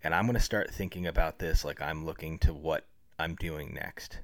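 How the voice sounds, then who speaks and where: A man speaks at a moderate pace on a very clean recording, the background silent. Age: 30s. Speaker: public relations professional and improv comedian. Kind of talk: casual interview chat.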